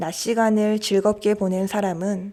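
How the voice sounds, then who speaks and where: A woman with a dark, mellow tone and medium pitch speaks at a very slow pace on a very clean recording with a silent background. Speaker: audiobook reader. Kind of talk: audiobook reading. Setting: outdoor cafe.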